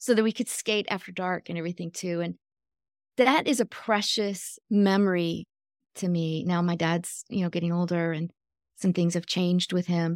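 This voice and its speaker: The recording is very clean with a silent background and a dry, close sound with no echo, as a woman with an American accent and an unremarkable speaking voice talks at a moderate pace, fairly low pitch and fairly even intonation. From US Midwest (Michigan). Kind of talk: casual chat.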